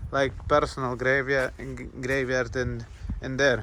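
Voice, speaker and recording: Speaking in a Lithuanian accent, a man with a fairly high pitch talks in monotone, flat intonation. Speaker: travel vlogger. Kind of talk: travel vlog narration. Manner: halting, many fillers.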